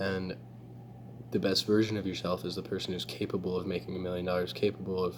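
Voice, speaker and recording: A man talks quietly at a moderate pace in a very deep, low voice. His pitch moves with ordinary variation. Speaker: self-improvement vlogger. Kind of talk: casual vlog monologue. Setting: public space. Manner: hesitant, filler-heavy.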